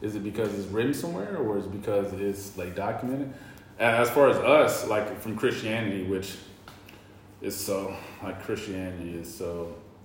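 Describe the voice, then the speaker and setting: A man with an American accent speaks at a fairly low pitch and a moderate pace, with ordinary pitch variation. Noticeable background noise and audible room echo fill the recording. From US South, North Carolina. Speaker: podcast co-host. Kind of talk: casual chat. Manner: halting.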